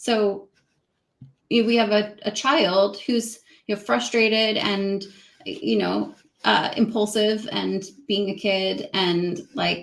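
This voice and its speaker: Very slow, with long and frequent pauses, a woman speaks at a medium pitch with ordinary pitch variation. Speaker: communication specialist. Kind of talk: casual interview.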